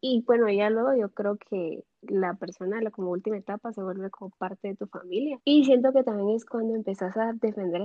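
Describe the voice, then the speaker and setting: With an unremarkable speaking voice, a woman of medium pitch talks at a fairly quick pace with fairly even intonation. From Nicaragua. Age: 20s. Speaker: university student. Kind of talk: casual chat.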